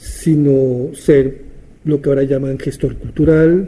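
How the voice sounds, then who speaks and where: At a very slow pace, a man speaks in a fairly high pitch. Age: 70s. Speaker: theatre teacher and writer. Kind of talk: interview monologue, reminiscing. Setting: at his home. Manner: halting, with repetitions and fillers.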